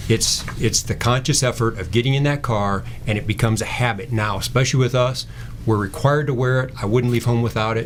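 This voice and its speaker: Over noticeable background noise, a man at medium pitch talks at a fairly quick pace with fairly even intonation. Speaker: state trooper. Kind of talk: radio interview.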